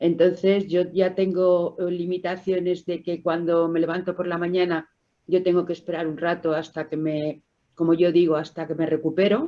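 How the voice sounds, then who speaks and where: Speaking at a moderate pace, a woman uses a fairly low pitch and a monotone, flat intonation. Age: 60s. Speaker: COPD patient. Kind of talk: testimony.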